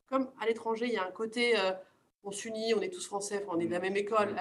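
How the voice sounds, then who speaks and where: A woman's medium-pitched voice at a very fast pace. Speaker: finance professional, alumna. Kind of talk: group discussion.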